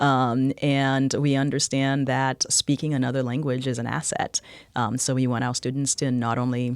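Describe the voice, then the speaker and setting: A moderate pace on a very clean recording with a silent background. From Haiti, moved to Dorchester, Boston at twelve. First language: French and Haitian Creole. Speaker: college president. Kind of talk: podcast interview.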